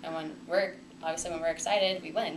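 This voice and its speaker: Amid noticeable background noise, a woman talks very fast at a fairly low pitch with fairly even intonation. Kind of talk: interview answer. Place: meeting room.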